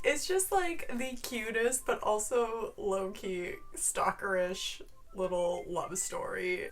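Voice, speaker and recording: Background music can be heard. Over it, a woman talks with an American accent. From US Midwest. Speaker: book vlogger. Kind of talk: casual book review. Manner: animated.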